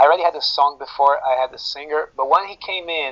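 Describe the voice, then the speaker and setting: In a Brazilian accent, a man speaks at a moderate pace with ordinary pitch variation. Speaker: metal guitarist. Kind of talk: interview. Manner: hesitant, many fillers.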